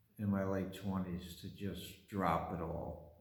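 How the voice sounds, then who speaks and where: A man with an American accent speaks at a fairly slow pace in a very deep, low, somewhat breathy voice. The room echo is audible. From Brooklyn, New York. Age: 60s. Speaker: painter and artist. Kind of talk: casual personal monologue. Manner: halting, with many fillers.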